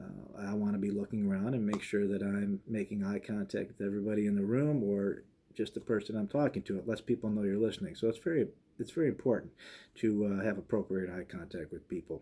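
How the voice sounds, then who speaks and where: A man's dark, mellow mumbling, fairly low in pitch, very fast, with ordinary pitch variation. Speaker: police chief. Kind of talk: advice talk to students. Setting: office, recorded to camera. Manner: casual; mumbles slightly.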